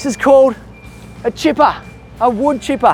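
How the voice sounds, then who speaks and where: A man speaks with an Australian accent. There is noticeable background noise behind him. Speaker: children's educational presenter. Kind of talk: kids' educational presenting. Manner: animated.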